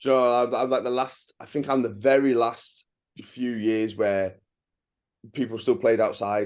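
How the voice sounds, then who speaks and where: An English accent at a moderate pace. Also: man, medium pitch for a man, fairly even intonation. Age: 30s. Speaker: travel vlogger. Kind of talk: casual chat. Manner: halting.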